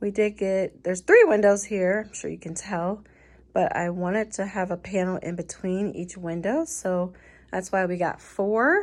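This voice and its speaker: A woman at medium pitch and a fairly slow pace against a quiet background. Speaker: home decor vlogger. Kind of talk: casual home tour vlog. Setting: filming at home, bedroom. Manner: chatty, filler-heavy.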